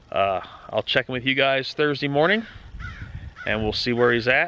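A man with ordinary pitch variation in a dry sound with no echo, with clear music in the background. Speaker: vlogger. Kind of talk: casual vlog chat. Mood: relaxed, upbeat. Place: open country. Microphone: phone near.

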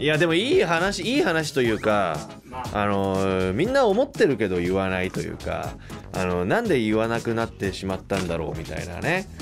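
Over clear background music, a man with a fairly low pitch speaks at a moderate pace, his pitch swinging very widely. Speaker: voice actor, radio host. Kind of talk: casual radio talk. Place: studio.

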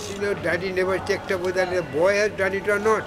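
A high-pitched man at a moderate pace amid noticeable background noise. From Kolkata, India. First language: Bengali. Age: 80s+. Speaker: sketch artist and art teacher. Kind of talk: interview answer. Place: hall. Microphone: phone near.

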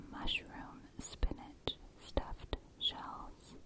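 Someone whispers, soft-spoken, at a very slow pace. The words come out very slowly. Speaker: ASMR creator. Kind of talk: whispered ASMR reading. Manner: close, soft ASMR whisper reading recipes.

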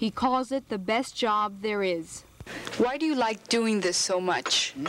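A woman's fairly high voice at a fairly slow pace, with very even loudness, ordinary pitch variation and noticeable background noise. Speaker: TV news reporter. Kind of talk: TV news report narration.

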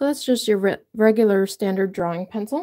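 A woman speaks with ordinary pitch variation. Her tone is dark and mellow. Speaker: drawing teacher. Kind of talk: tutorial.

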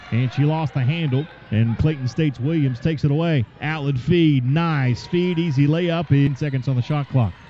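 The speech runs with hardly any pauses and ordinary pitch variation. Noticeable background noise is present. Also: man, fairly high pitch for a man. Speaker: basketball play-by-play announcer. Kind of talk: live sports commentary, play-by-play of a women's college basketball game. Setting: broadcast of a game, edited highlights. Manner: rapid-fire, clipped play-by-play delivery, excited on threes and steals.

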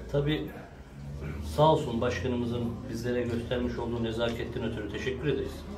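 A man at a fairly quick pace with ordinary pitch variation amid noticeable background noise. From Turkey, Kilimli (Zonguldak). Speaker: local politician announcing mayoral candidacy. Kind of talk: public statement to supporters. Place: office. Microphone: camera far.

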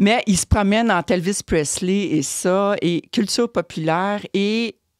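Lively intonation marks this woman's medium-pitched voice. The recording is dry with no echo, over a quiet background. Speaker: columnist; guest. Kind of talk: casual chat. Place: studio. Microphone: studio mic.

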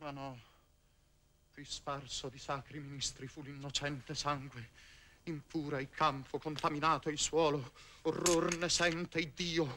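A man speaks in a bright, sharp tone with monotone, flat intonation at a fairly slow pace. He leaves long, frequent pauses over light background noise. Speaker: stage actor. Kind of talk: 1959 theatrical verse tragedy performance, declaimed. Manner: impassioned, noble, heroic and urgent stage delivery. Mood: intense, solemn.

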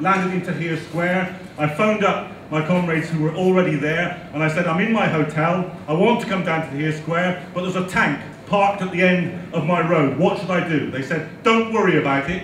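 A man with a high pitch talks at a fairly quick pace with hardly any pauses and fairly even intonation, amid audible room echo and light background noise. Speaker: speaker. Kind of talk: speech to an audience. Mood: warm, welcoming. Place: hall.

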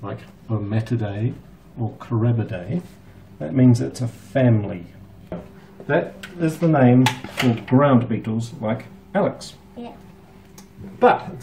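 Fairly slow speech with long, frequent pauses and big swings in loudness, over noticeable background noise. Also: man. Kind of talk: explaining to a child on a tour. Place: office. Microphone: camera far.

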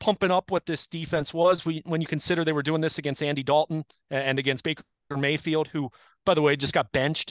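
A man's fairly high-pitched voice, fairly even in intonation, against a quiet background. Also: dry sound with no echo. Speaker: sports radio analyst. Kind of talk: casual sports talk. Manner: analytical. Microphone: headset.

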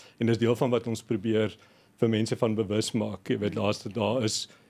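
This man talks in a fairly low pitch with a monotone, flat intonation. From Queenstown, Eastern Cape, South Africa; Eastern Cape, South Africa. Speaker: agricultural initiative co-founder; radio interview guest. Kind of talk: radio interview. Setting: studio. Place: studio. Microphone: studio mic.

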